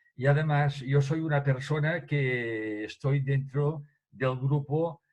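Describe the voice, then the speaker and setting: With fairly even intonation, a man talks in a somewhat breathy voice at a fairly high pitch. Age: 80s+. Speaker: association member. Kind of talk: audience comment. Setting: video call.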